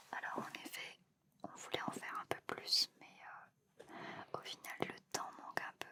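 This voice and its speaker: A man whispers at a very slow pace in a gentle, relaxed tone. His loudness swings widely, and noticeable background noise is present. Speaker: ASMR content creator who works in a hospital, shaves patients before surgery. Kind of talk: ASMR facial care role-play, addressed to a partner and the listeners. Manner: soft, gentle, relaxed.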